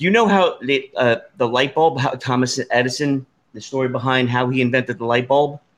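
A normal speaking voice from a man with an American accent, medium pitch, ordinary pitch variation and a fairly quick pace. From New Jersey. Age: 50s. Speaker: podcast host. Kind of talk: casual chat.

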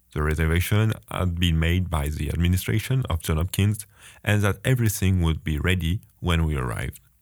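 A man with a French accent and a very deep, low pitch talks at a fairly quick pace with ordinary pitch variation, in a very clean recording with a silent background. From France. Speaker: international student podcaster. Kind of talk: scripted personal narration, podcast storytelling.

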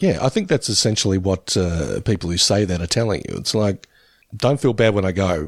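Very even in loudness, a man with an unremarkable speaking voice and fairly low pitch uses ordinary pitch variation in a very clean recording with a silent background and a dry, close sound with no echo. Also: fairly quick pace. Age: 50s. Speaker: podcast co-host. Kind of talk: casual chat. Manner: laughs often.

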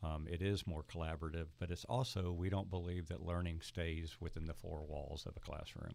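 A man with a Southern US accent talks at a fairly quick pace with hardly any pauses. His pitch is very deep and low, and his intonation fairly even. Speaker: school superintendent hosting. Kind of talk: interview conversation, casual. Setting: studio.

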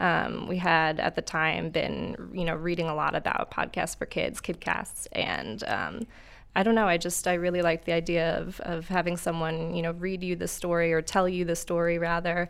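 A woman with an American accent speaks at a moderate pace and a fairly low pitch, monotone and flat, with hardly any pauses. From New York. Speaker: podcast writer. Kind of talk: casual interview chat. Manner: halting, many fillers.

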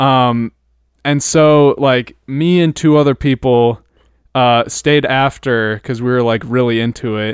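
A man talks at a fairly slow pace with a normal speaking voice, medium pitch, and fairly even intonation. The recording is very clean, with a silent background and a dry, close sound with no echo. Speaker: podcast co-host, college drummer. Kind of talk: casual chat.

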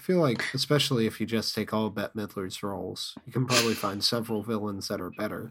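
The speech comes at a very fast pace with hardly any pauses. The pitch varies in an ordinary way, in an American accent. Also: man, fairly low pitch for a man. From US South. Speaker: podcast co-host. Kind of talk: casual podcast chat.

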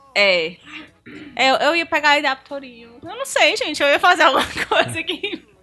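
A raised, projected voice with lively intonation comes through over noticeable background noise. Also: woman, high pitch for a woman, moderate pace. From Brazil, Ceará. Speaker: podcast guest. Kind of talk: casual chat.

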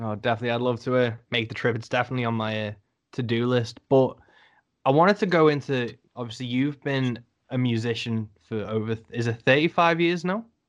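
With a Liverpool accent, a man talks at a fairly quick pace and medium pitch, with ordinary pitch variation against a quiet background. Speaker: podcast host, musician. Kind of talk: interview.

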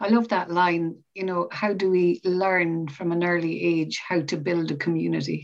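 A woman with an ordinary speaking voice talks at a moderate pace, her pitch fairly low and her intonation fairly even. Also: hardly any pauses. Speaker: podcast host.

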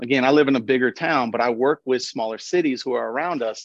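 A man talks at a fairly quick pace with a medium pitch and an American accent. He has a plain, everyday voice. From Nashville, Tennessee (US South). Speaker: economic development professional. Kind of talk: podcast interview.

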